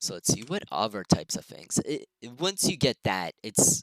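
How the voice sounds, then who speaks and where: The sound is dry and close, without any echo. A man talks at a fairly slow pace. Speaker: game tutorial maker. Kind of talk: tutorial. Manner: loud at times.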